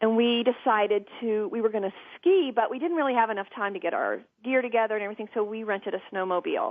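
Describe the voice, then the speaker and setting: Speaking at a very fast pace, a woman with an American accent uses lively intonation and a fairly high pitch. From US South, Georgia (south of Atlanta). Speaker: TV interviewer and producer, podcast guest. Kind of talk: personal storytelling in interview. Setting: talk radio podcast.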